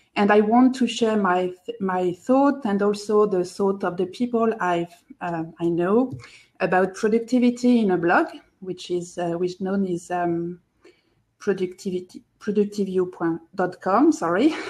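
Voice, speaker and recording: Speaking at a fairly slow pace, the voice carries a French accent and ordinary pitch variation. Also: woman, medium pitch for a woman. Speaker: productivity blogger and podcaster. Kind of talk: live video chat.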